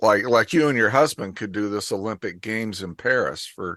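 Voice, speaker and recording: This man has a normal speaking voice, fairly low in pitch, with ordinary pitch variation at a moderate pace. The background is quiet and the sound is dry and close, without echo. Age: 60s. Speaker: business commentator. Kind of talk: casual chat.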